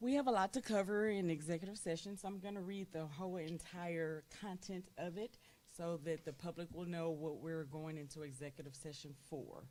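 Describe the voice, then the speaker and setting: A woman's fairly low, dark and mellow voice in a Southern US accent, fairly quick with hardly any pauses and ordinary pitch variation. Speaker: school board president. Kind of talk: formal meeting chairing. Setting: board meeting room with microphones. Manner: loud.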